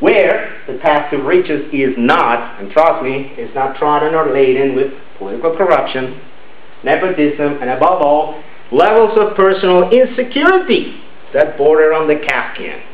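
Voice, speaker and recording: Lively intonation marks this man's fairly high voice at a moderate pace. Audible room echo and noticeable background noise surround him. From Venezuela. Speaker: club member giving a speech. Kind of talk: prepared speech.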